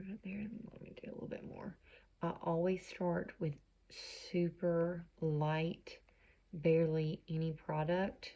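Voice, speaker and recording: A woman speaks very slowly in a fairly low, somewhat breathy voice with a dark, mellow tone. Her loudness swings widely. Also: ordinary pitch variation. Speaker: makeup consultant. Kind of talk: tutorial. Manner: casual, chatty.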